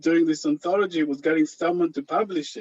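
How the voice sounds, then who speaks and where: Lively intonation from a man speaking at a moderate pace. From Israel (kibbutz). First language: Hebrew. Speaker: anthology editor and author. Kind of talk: panel discussion. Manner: hesitant, many fillers.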